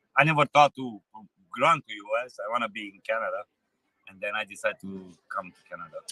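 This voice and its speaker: A man speaks very fast with a Romanian accent. His loudness swings widely, and the sound is dry and close with no echo. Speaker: truck driver. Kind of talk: street interview. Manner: halting.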